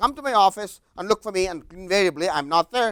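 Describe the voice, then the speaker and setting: At a fairly quick pace, a man speaks in an animated tone. The sound is dry and close, with no echo. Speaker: business executive and lecturer. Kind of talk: lecture. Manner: loud.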